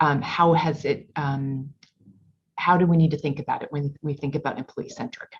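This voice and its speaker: Her pitch very deep and low, a woman speaks somewhat breathily at a moderate pace with fairly even intonation. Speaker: executive business coach, podcast host. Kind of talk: interview question.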